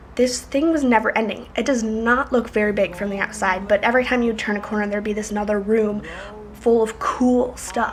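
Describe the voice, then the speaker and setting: A woman talks at a moderate pace in a fairly high voice with fairly even intonation, and noticeable background noise runs behind her. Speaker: vlogger, exchange student. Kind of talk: casual vlog.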